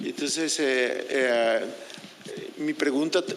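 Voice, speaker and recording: A man speaks over noticeable background noise. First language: Spanish. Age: 60s. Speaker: public commenter. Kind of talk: public comment at meeting. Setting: public meeting. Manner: halting.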